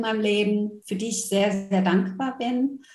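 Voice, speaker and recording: The woman's voice is somewhat breathy, with a dark, mellow tone. She keeps a fairly slow pace. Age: 40s. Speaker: former corporate manager who went through burnout. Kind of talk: interview.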